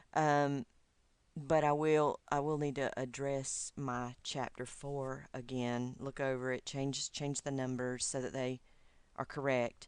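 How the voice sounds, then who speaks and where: A woman with a Southern US accent, very deep, low pitch, monotone, flat intonation and a very slow pace, against a quiet background. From US South, Georgia. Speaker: doctoral student. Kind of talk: recorded video message to advisor. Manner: hesitant, many fillers.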